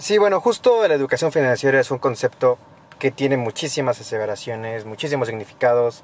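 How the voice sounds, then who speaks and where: A man speaks at a fairly quick pace in an unremarkable speaking voice. His pitch sits in the medium range, and his intonation is lively. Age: 20s. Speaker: international relations graduate student. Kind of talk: casual chat.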